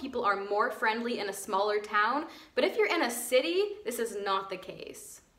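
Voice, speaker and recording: A woman speaks at a moderate pace with an American accent. Her voice is high, and background noise is noticeable. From United States. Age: 20s. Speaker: vlogger. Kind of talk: casual talk to camera.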